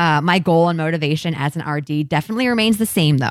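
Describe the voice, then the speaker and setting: On a very clean recording with a silent background and a dry, close sound with no echo, a woman with a Midwestern US accent speaks in a very deep, low pitch with lively intonation. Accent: US Midwest. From Ohio (Columbus). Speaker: podcast host, dietitian. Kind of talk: casual chat.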